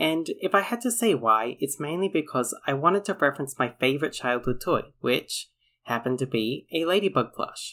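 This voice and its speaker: In an Australian accent, a man talks at a fairly quick pace with lively intonation and a bright, sharp tone. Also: very clean recording, silent background. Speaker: storytime animator YouTuber. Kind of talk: casual vlog narration.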